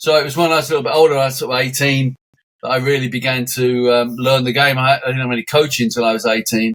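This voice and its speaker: Very fast speech comes from a man. His pitch is medium and his intonation fairly even. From London, England (Islington, North London). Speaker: football scout. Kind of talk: podcast interview.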